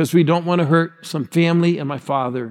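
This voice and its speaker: The recording is very clean, with a silent background. A man with a fairly high pitch speaks at a moderate pace. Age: 60s. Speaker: guest pastor. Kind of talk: sermon. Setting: church with congregation. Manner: animated.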